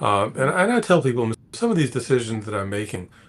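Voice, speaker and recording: Over noticeable background noise, a man at medium pitch talks very fast with lively intonation. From US South, Atlanta. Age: 60s. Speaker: space investor and technology executive. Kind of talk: interview. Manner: halting, many repetitions.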